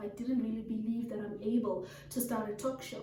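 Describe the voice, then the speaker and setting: A woman talks at a fairly quick pace, with audible room echo around her voice. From Africa. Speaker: talk show host. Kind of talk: monologue story time. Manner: quiet, calm.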